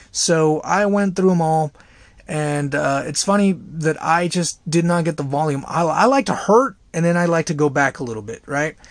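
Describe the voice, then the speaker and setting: Talking at a moderate pace, a man has a fairly high pitch and ordinary pitch variation. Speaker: tech reviewer. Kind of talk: casual product review. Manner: hesitant, many fillers.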